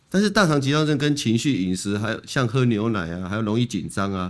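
In a very clean recording with a silent background, a man talks at a fairly quick pace in an unremarkable speaking voice, with medium pitch and ordinary pitch variation. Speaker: colorectal surgeon. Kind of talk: medical interview. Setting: studio.

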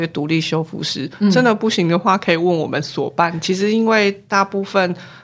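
Amid noticeable background noise, a woman talks at a fairly quick pace and medium pitch with ordinary pitch variation. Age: 40s. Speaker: professor of artifact conservation. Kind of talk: casual interview.

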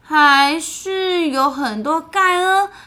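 In a raised, projected voice, a woman speaks at a high pitch with lively intonation and a bright, sharp tone. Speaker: children's podcast co-host. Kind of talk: storytelling chat for children. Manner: animated.

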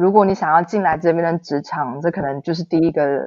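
A woman speaks with a Taiwanese accent. Her voice is fairly low for a woman, with ordinary pitch variation. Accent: Taiwanese Mandarin. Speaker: blogger living abroad. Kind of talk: interview.

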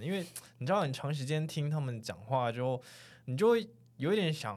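Fairly high-pitched man's voice in a Taiwanese accent, with very wide pitch swings, in a very clean recording with a silent background. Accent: Taiwanese Mandarin. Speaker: podcast host. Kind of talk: casual chat. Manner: animated.

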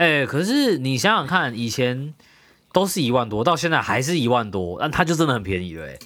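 In a very clean recording with a silent background, a man with a bright, sharp tone and medium pitch speaks at a fairly quick pace, his pitch swinging very widely. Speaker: podcast co-host. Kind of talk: casual chat. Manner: animated.

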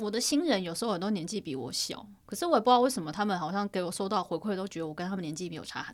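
With hardly any pauses, a woman of medium pitch talks at a very fast pace and with lively intonation. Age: 30s. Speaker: podcast co-host, freelance photographer. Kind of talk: casual chat.

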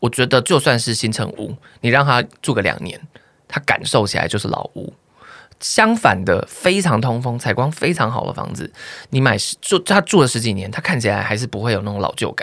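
With a Taiwanese accent, a man of medium pitch talks fairly quickly with lively intonation on a very clean recording with a silent background. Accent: Taiwanese Mandarin. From Taiwan, Nantou. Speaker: YouTuber and podcaster. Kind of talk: casual chat.

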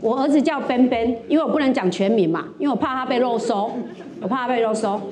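A woman's voice against noticeable background noise. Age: 50s. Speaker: stand-up comedian and college lecturer. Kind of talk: stand-up comedy set at an open mic. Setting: stage with audience.

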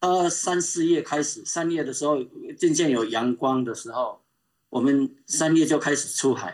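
A man talks in a plain, everyday voice, fairly high in pitch, moderately paced, with ordinary pitch variation. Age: 60s. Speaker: open-water swimmer and swimming coach. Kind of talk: casual interview. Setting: remote call.

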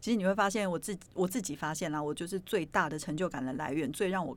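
On a very clean recording with a silent background, a woman with a normal speaking voice talks in a fairly low pitch and ordinary pitch variation. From Taiwan, Yilan (Luodong). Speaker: podcast host, performing arts presenter. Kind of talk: casual chat.

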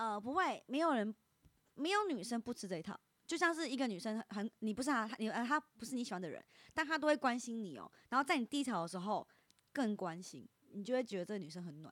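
A woman with a slight Taiwanese accent speaks very fast in a fairly high pitch, with very wide pitch swings and big swings in loudness, in a dry, close sound with no echo. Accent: slight Taiwanese Mandarin. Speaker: internet influencer. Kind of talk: casual chat.

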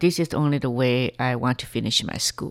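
The speaker talks at a moderate pace with a Chinese accent. The recording is very clean, with a silent background. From China (Henan, later Shanghai). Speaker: financial planner. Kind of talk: interview. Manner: halting.

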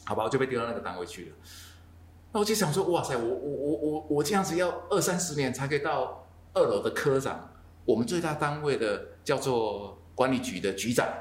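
A man talks at a fairly quick pace, his fairly high voice making very wide pitch swings with vocal fry. Audible room echo surrounds him. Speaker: podcast host. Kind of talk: casual interview. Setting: coffee shop in Taichung.

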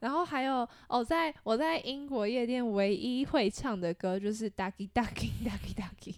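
At a moderate pace and with hardly any pauses, a woman talks in a fairly high pitch with lively intonation. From Taiwan. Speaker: podcast co-host. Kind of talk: casual chat.

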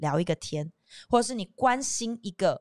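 A woman with lively intonation on a very clean recording with a silent background. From southern Taiwan, Kaohsiung. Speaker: TV host. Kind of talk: casual chat. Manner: animated.

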